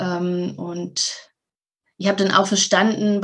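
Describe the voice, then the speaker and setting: Very slow speech from a woman at medium pitch, flat and monotone in intonation. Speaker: mental health coach. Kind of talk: interview.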